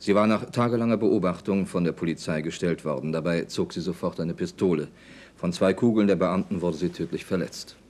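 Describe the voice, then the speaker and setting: Speaking at a fairly quick pace, a man with a very deep, low pitch uses ordinary pitch variation. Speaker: newsreader. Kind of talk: news reading; archival 1979 TV sign-off newscast. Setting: broadcast. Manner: formal; measured, even and authoritative. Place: studio.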